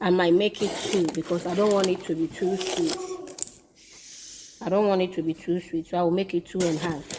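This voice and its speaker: Over noticeable background noise, a woman speaks at a medium pitch and a fairly quick pace, with monotone, flat intonation and long, frequent pauses. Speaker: home cook. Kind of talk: cooking tutorial.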